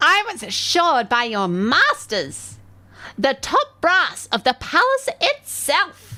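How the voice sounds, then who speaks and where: A female-sounding, put-on character voice comes out shrill and high-pitched at a fairly slow pace. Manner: disdainful.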